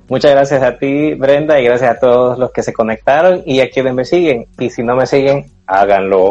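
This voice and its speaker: A man speaks at a moderate pace with hardly any pauses. His pitch is medium, with ordinary variation. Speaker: running podcast host. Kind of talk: interview guest, casual chat.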